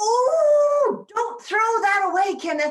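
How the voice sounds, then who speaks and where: In a put-on character voice, a woman squeaks at an extremely high pitch with very wide pitch swings and a very slow pace. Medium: audio drama. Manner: fussy, earnest.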